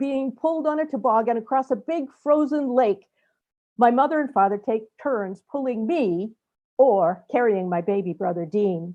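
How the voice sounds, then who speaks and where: Against a quiet background, a woman speaks at a fairly slow pace in a high pitch. Her tone is dark and mellow, her intonation lively. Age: 70s. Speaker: storyteller. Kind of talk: storytelling presentation.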